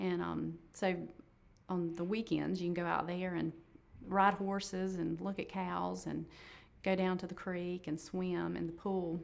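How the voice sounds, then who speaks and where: A woman in a North Carolina accent at a fairly slow pace. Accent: Southern US (North Carolina). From Shelby, North Carolina. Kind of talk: oral history interview answer.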